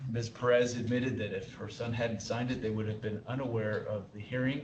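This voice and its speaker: The speech moves at a fairly quick pace in a monotone, flat intonation, with noticeable background noise and audible room echo. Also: man, medium pitch for a man. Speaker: board member. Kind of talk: public board meeting deliberation. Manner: hesitant, many fillers.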